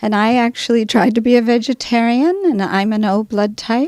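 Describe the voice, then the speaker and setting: Speaking at a moderate pace, a woman has a plain, everyday voice with fairly high pitch. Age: 60s. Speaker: health practitioner. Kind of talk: interview.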